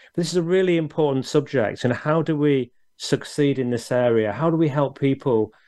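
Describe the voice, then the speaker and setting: A man's fairly high voice with a British accent and ordinary pitch variation. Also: quiet background. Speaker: business show host. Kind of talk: interview. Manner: halting, many fillers.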